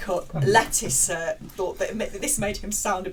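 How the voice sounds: Voice reading in a natural way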